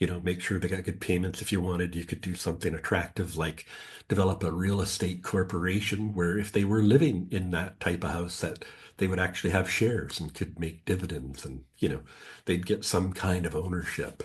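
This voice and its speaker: Over a quiet background, a man with a very deep, low pitch speaks somewhat breathily at a fairly quick pace with fairly even intonation. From West Coast of Canada, British Columbia. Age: 60s. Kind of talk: podcast interview. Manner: conversational, many filler words.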